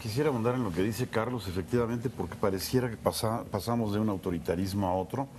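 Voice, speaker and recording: Barely pausing at all, a man races along at a very fast pace in a fairly low voice with ordinary pitch variation. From Mexico. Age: 60s. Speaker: TV political analyst, co-host. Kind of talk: televised political discussion.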